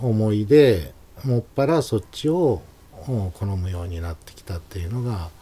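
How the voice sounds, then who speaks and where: A man speaks fairly slowly in a fairly low, dark, mellow and somewhat breathy voice, with lively intonation and big swings in loudness. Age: 50s. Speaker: calligrapher. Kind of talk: casual interview.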